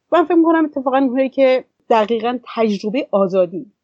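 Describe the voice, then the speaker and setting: In a plain, everyday voice, a woman talks at a fairly quick pace with lively intonation. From Iran. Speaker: women's association director, activist. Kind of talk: interview.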